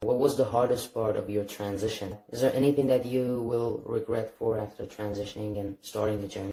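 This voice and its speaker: A man talks at a fairly quick pace with a medium pitch and hardly any pauses. His intonation stays fairly even over noticeable background noise. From Iran. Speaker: interviewer. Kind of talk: interview questions.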